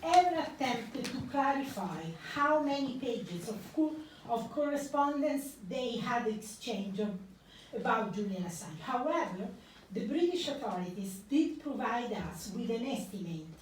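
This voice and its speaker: With audible room echo, a woman talks at a moderate pace and a high pitch, her voice swinging very widely. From Italy. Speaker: investigative journalist. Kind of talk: public talk.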